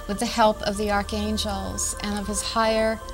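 Clear music plays in the background behind a woman. She talks at a moderate pace with monotone, flat intonation. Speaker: show host. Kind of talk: show introduction. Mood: calm, reverent, soft. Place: studio. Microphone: lapel.

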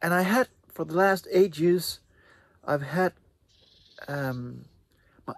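Dry with no echo, a man's voice moves at a fairly slow pace. His pitch varies in an ordinary way. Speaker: video maker reviewing microphones. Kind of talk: casual review chat. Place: garden.

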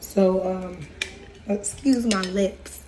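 A woman's medium-pitched voice holds fairly even intonation while noticeable background noise plays behind her. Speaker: spiritual practice vlogger. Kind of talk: casual vlog. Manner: halting.

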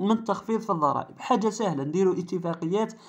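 An animated tone in an Algerian accent. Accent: Algerian Arabic (Darija). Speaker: car channel YouTuber. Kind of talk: commentary video monologue.

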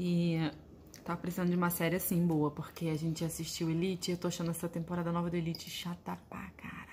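The delivery is very fast and monotone, with flat intonation. Light background noise sits underneath. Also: woman, fairly low pitch for a woman. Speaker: family vlogger. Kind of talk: casual vlog chat. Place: kitchen. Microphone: phone near.

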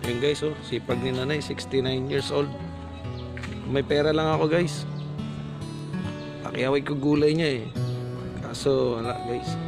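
Music plays clearly behind the voice. A man talks fairly slowly. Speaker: vlogger. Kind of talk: casual vlog narration to camera. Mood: sympathetic, hopeful. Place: street. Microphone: phone near.

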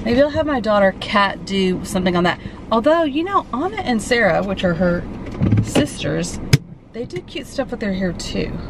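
Recorded with noticeable background noise, a woman's voice comes through dry, with no echo. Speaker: vlogger. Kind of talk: casual vlog chat. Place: car. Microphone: phone near.

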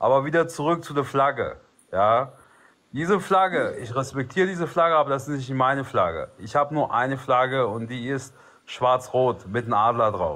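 Bright and sharp in tone, a man speaks at a moderate pace with ordinary pitch variation. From Albanian background. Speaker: livestream participant; live stream host. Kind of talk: casual debate. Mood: calm, earnest. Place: home room. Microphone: phone near.

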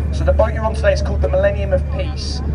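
Loud background noise behind a man talking. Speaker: boat tour guide. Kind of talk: tour commentary and safety briefing. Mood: friendly, joking. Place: boat. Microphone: pa.

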